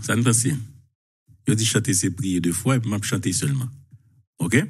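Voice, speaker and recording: A man talks at a very fast pace in a somewhat breathy voice with ordinary pitch variation, against a quiet background. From Haiti. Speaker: journalist. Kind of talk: live talk show. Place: home room. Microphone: lapel.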